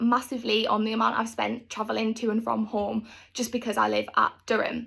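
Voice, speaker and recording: A woman with a North East England accent at a moderate pace. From North East England, Stockton. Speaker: university student. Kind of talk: scripted talk to camera.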